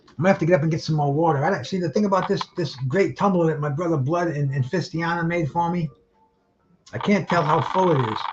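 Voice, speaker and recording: Speaking very fast in a Rhode Island accent, a man with a high pitch uses ordinary pitch variation while music plays in the background. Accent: New England, Rhode Island. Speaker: boxing livestream host. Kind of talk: casual live fight commentary. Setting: livestream. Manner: halting. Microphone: too far from the camera.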